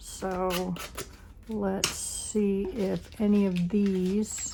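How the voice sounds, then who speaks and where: Amid noticeable background noise and audible room echo, a woman talks at a very slow pace. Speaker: crafting channel host. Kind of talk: crafting tutorial.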